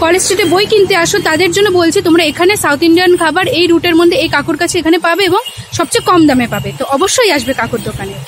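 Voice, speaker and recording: An extremely high-pitched woman's voice with ordinary pitch variation, dry and without echo, over light background noise. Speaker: food vlogger. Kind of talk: casual vlog chat. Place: street. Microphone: phone near.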